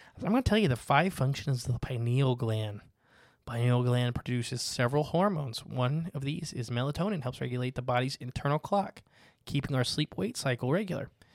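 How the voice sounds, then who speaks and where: In a very clean recording with a silent background and a dry, close sound with no echo, a man talks fairly quickly in an ordinary speaking voice, with medium pitch and ordinary pitch variation. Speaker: podcast host. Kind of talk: casual conversation about conspiracy theories.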